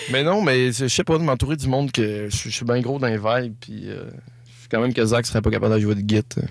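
This is a man with a normal speaking voice, talking at a fairly quick pace with ordinary pitch variation. The recording is very clean, with a silent background. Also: medium pitch for a man. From Quebec, Saint-Prime (Lac-Saint-Jean). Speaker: singer-songwriter. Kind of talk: casual interview.

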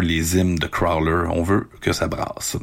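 Fairly even intonation from a man, his pitch very deep and low. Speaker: radio host. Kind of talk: casual radio presenting. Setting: home recording.

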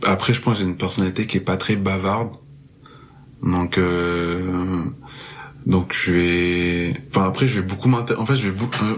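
Over noticeable background noise, a man speaks at a very deep, low pitch with fairly even intonation and very even loudness. His pace is fairly slow, broken by long, frequent pauses. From France, Marseille. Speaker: music festival worker. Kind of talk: casual interview chat.

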